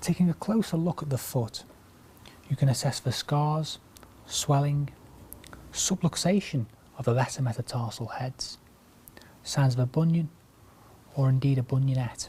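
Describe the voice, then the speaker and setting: A soft-spoken man with a fairly high pitch and a dark, mellow tone talks at a moderate pace, somewhat breathy, with ordinary pitch variation and long, frequent pauses. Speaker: orthopaedic clinical lecturer. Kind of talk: medical teaching demonstration.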